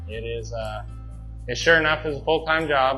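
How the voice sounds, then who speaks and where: With a Missouri accent, a man talks at a moderate pace as music plays in the background. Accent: Southern US (Missouri). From southern Missouri. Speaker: dairy farmer. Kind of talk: interview answer.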